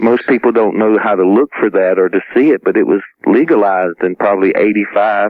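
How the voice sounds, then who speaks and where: A man with a Southern US accent, fairly low in pitch, with very even loudness and ordinary pitch variation. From US South, South Carolina. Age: 40s. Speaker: near-death experiencer, former Marine. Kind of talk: radio interview. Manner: halting.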